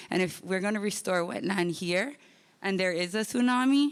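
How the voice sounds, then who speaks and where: A woman with a Hawaiian accent, medium pitch, ordinary pitch variation and a moderate pace on a very clean recording with a silent background. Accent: Hawaiian local English. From Hawaii, West Kauai. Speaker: public commenter, teacher. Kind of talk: public comment at community meeting. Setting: school meeting hall with audience. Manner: halting, many fillers.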